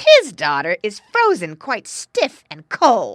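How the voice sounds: A woman uses a put-on character voice with a fairly bright tone and a medium pitch, her pitch swinging very widely. She speaks at a slow pace, and the sound is dry and close with no echo.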